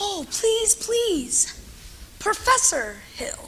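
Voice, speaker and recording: A woman does a put-on character voice, squeaky and extremely high-pitched, with a Cartoonish lilt of lively intonation. Clear background noise runs underneath. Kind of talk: musical theatre acting. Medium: stage play. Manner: glib, charming.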